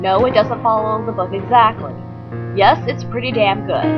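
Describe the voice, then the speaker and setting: Over loud background music, the speaker talks at a moderate pace. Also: woman. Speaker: let's play commentator. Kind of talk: casual let's play commentary. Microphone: webcam.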